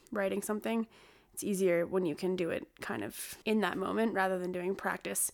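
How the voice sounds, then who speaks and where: An ordinary speaking voice from a woman, at a fairly quick pace with ordinary pitch variation. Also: very clean recording, silent background. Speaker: podcast host. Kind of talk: casual chat. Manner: casual, chatty.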